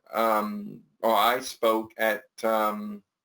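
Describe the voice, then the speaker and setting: Here a man is talking. His voice is of medium pitch. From New Orleans, Louisiana. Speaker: Alzheimer's advocate, former marketing and PR executive. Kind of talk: interview answer. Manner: hesitant, halting.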